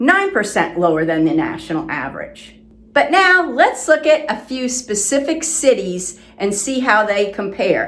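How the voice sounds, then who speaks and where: With an American accent, a woman talks at a moderate pace in a fairly high voice, her pitch swinging very widely, with hardly any pauses over noticeable background noise. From South Florida. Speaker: real estate agent. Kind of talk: informational presentation to camera.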